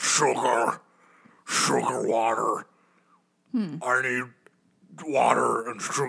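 A growling put-on character voice at a low-to-middle pitch, very slow pace and long, frequent pauses.

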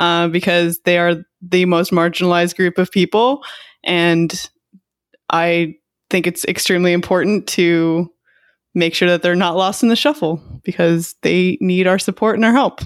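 A woman with an American accent speaks in an ordinary speaking voice, fairly low in pitch, at a moderate pace, with ordinary pitch variation and very even loudness. The recording is very clean, with a silent background and a dry, close sound with no echo. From Texas. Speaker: basketball podcast co-host. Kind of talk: casual chat.

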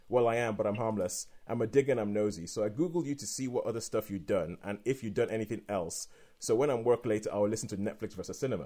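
A man's dark, mellow tone at medium pitch, very fast with hardly any pauses and ordinary pitch variation. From Midlands England. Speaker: podcast host. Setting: video call.

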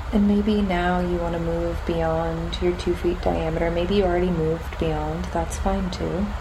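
Against noticeable background noise, a woman talks in a soothing, calm tone with hardly any pauses. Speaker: meditation guide. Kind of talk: guided meditation. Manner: slow, soft, soothing and calm, with long pauses; gentle, warm and reassuring.

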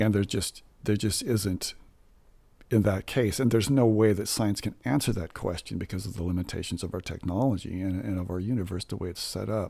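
Quickish in pace, a man talks with a fairly low pitch, a dark, mellow tone and fairly even intonation. The recording is very clean, with a silent background. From Southern California. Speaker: church musician. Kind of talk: testimony.

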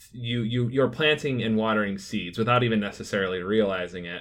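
An ordinary speaking voice is heard. Its pitch varies in an ordinary way. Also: man. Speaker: podcast host. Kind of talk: casual chat.

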